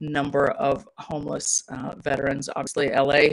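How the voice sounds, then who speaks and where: A woman with a very deep, low pitch. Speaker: executive director of a veterans charity. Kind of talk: presentation with Q&A. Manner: fast; filler words, many ums and uhs.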